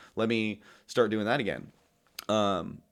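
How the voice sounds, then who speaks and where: A man's fairly low-pitched voice in a very clean recording with a silent background. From US Midwest / Colorado. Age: 30s. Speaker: music producer and stagehand. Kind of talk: casual chat. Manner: fast; loud.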